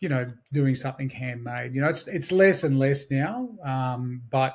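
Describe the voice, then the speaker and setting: A man speaks fairly quickly in an Australian accent, his pitch medium. The recording is very clean, with a silent background. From Australia, Blue Mountains west of Sydney. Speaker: digital marketing agency owner. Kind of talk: interview.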